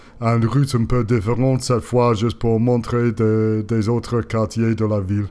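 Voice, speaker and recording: At a medium pitch and a very even loudness, a man delivers monotone, flat speech in a dark, mellow tone with hardly any pauses. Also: moderate pace. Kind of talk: voice-over narration of bike ride video. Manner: hesitant, many filler sounds.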